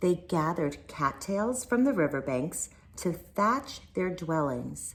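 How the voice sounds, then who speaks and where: A woman speaks very slowly in a fairly low, somewhat breathy voice with very wide pitch swings. The recording is very clean, with a silent background. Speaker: teacher. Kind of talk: reading aloud.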